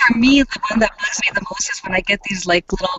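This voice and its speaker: A woman keeps a moderate pace while noticeable background noise is heard around her. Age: 40s. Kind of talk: casual chat.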